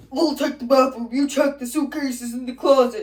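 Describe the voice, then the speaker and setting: A put-on character voice, pitched high. It moves at a moderate pace. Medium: stage play. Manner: terse, edgy.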